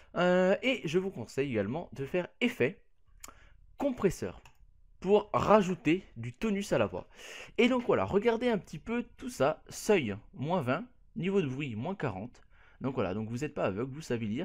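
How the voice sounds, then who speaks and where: A man speaks at a high pitch with very wide pitch swings, leaving long, frequent pauses. The recording is very clean, with a silent background. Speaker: YouTuber. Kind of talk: tutorial. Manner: casual, hesitant.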